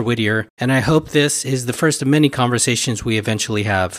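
Pitch variation here is ordinary. It is a normal speaking voice. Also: man. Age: 50s. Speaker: podcast host. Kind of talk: interview; scripted introduction.

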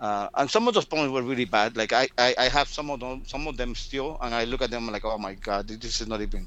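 With a fairly bright tone, a man speaks at a fairly quick pace. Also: medium pitch for a man, ordinary pitch variation.

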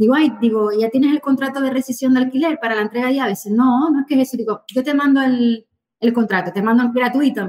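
A woman speaks very fast in a high voice. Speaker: real estate agent. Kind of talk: interview. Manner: animated.

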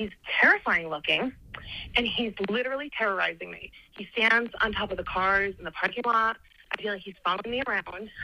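An unremarkable speaking voice with an American accent moves at a fairly quick pace, with ordinary pitch variation and big swings in loudness. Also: woman, fairly high pitch for a woman. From New Jersey.

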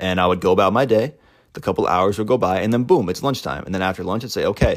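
A man's fairly low voice with lively intonation at a very fast pace, on a very clean recording with a silent background. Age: 20s. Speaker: solo podcaster on eating disorder recovery. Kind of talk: casual solo monologue. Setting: lying in bed with a microphone.

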